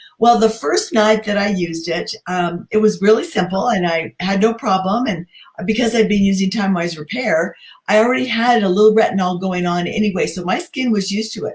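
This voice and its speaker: A somewhat breathy woman's voice at a fairly quick pace, with ordinary pitch variation. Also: medium pitch for a woman. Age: 60s. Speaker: beauty consultant, host's mother. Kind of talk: testimony.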